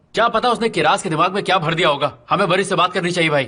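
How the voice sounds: Using a put-on character voice, a man talks very fast at a high pitch, with a bright, sharp tone, a slightly husky edge and ordinary pitch variation.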